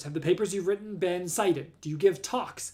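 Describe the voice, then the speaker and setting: A loud man with an American accent, high-pitched and lively, at a fairly quick pace. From Southern California. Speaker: astronomer. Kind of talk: live stream talk.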